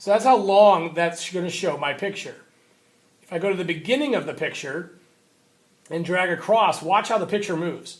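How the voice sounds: Loud and at a moderate pace, a man talks with a high pitch and ordinary pitch variation amid audible room echo.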